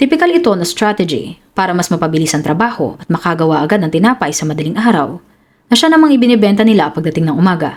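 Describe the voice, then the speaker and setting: A woman speaks very fast, with a fairly low pitch and lively intonation. Her tone is serious. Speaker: true crime storyteller. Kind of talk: dramatic scripted crime narration. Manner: grave, suspenseful, measured storytelling pace; formal, serious news-report-like delivery.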